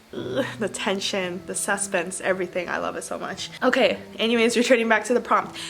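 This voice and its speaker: A woman at a fairly quick pace with ordinary pitch variation, over noticeable background noise. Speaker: book vlogger. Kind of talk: casual vlog. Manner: fast.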